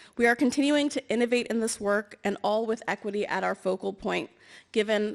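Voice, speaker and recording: A woman's voice with vocal fry and ordinary pitch variation, at a fairly quick pace, on a very clean recording with a silent background. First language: Amharic or Tigrinya (English is second language). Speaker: government energy official, award recipient. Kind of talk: award acceptance speech. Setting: stage with audience. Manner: formal.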